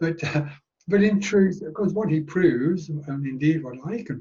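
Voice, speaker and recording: With a British accent, a man speaks at a moderate pace in a high-pitched voice with a dark, mellow tone. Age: 80s+. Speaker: panel speaker, care leaver. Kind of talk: panel discussion.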